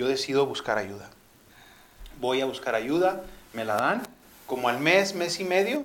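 With noticeable background noise and audible room echo, a fairly high-pitched man speaks with lively intonation. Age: 40s. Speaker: motivational speaker. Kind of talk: testimony.

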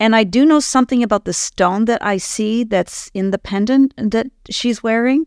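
A woman's fairly high pitch with ordinary pitch variation, a moderate pace and hardly any pauses, in a very clean recording with a silent background and a dry, close sound with no echo. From Canada, Ottawa. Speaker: communication trainer and relationship coach. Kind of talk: casual interview. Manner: calm, grounded.

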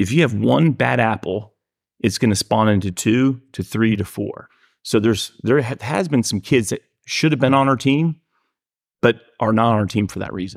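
A man with an American accent talks in a normal speaking voice at a medium pitch and moderate pace, with ordinary pitch variation, on a very clean recording with a silent background and a dry, close sound with no echo. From Miami, Florida. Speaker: youth baseball coach. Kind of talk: casual chat.

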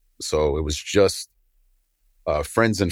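At a moderate pace, a man with an American accent speaks in a very deep, low pitch, recorded very cleanly against a silent background with a dry, close sound with no echo. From New York (Brooklyn). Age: 50s. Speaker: entrepreneur, snake breeder. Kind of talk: interview. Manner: halting, many fillers.

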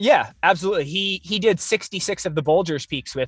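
A man with a General American accent and an unremarkable speaking voice, at a fairly quick pace with ordinary pitch variation, in a dry, close sound with no echo. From US Pacific Northwest, Oregon. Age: 30s. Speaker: adventure runner and mountaineer, educator. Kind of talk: interview. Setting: video call.

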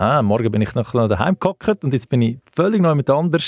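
Heard dry and close with no echo, a man talks in an ordinary speaking voice with lively intonation at a moderate pace. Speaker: sports travel company director, ex-footballer. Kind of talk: casual interview. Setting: studio.

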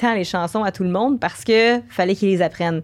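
At a fairly quick pace, an unremarkable speaking voice delivers its lines with ordinary pitch variation. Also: woman. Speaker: musician and Twitch streamer. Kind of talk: casual interview chat.

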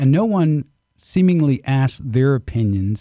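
On a very clean recording with a silent background and a dry, close sound with no echo, a man speaks fairly slowly in a medium pitch with a dark, mellow tone. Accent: American. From US South, Southwest Georgia (Albany). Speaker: technology professional, gun club member. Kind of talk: casual chat. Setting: studio.

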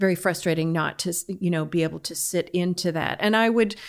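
At a moderate pace, an unremarkable speaking voice with an American accent and fairly even intonation comes through on a very clean recording with a silent background. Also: woman. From United States. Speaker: fiddler and music teacher. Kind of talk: interview conversation.

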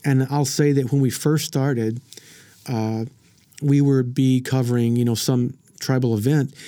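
In an American accent, a man speaks at medium pitch with a dark, mellow tone. His intonation stays fairly even. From southern Oklahoma (Frederick). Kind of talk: casual chat. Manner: halting, many repetitions and fillers.

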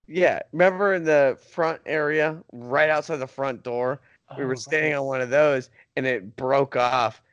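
With a plain, everyday voice set rather high, a man talks at a middling tempo and normal pitch movement. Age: 30s. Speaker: podcast co-host. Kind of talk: casual chat.

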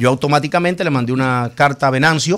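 Very fast and fairly even in intonation, a man's voice sits fairly high in pitch. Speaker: senator. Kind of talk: studio interview.

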